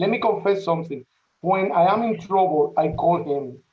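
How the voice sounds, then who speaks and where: This man has a strong Spanish accent. His intonation stays fairly even. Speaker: parish priest. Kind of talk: welcome remarks at a panel event. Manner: halting.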